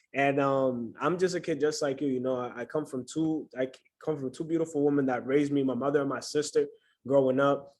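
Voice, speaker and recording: A man's fairly high voice in a New York accent, moving at a fairly quick pace. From New York City. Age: 20s. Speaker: trading mentor. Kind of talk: online class welcome and self-introduction. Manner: animated.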